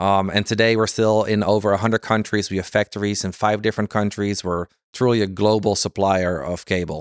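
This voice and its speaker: A man speaks at a fairly quick pace and a fairly low pitch, with a slight Dutch accent. The sound is dry and close, with no echo. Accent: light Dutch-accented English. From Netherlands, Amsterdam. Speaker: fiber cable sales executive. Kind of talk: interview. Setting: conference venue.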